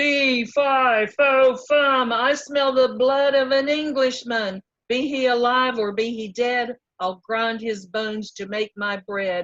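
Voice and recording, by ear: A put-on character voice, booming and fairly high in pitch, at a fairly slow pace. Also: female-sounding voice.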